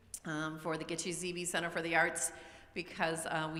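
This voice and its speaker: A woman speaks in a very deep, low pitch, with audible room echo around her voice. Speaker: school administrator. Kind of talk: presentation to parents.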